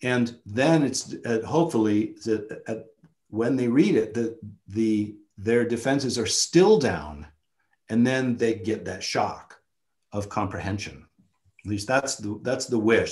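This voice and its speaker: Against a quiet background, a man with a medium-pitched voice talks at a fairly slow pace with ordinary pitch variation. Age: 50s. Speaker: photographer and filmmaker; guest. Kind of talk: seminar talk. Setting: video call. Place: home room. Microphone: webcam.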